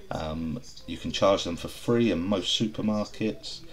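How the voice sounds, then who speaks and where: A man speaks with an English accent and ordinary pitch variation. Light background noise can be heard. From England. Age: 30s. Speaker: car reviewer. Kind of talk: voice-over review narration. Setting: recorded voice-over while watching video. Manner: casual. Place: street. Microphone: camera far.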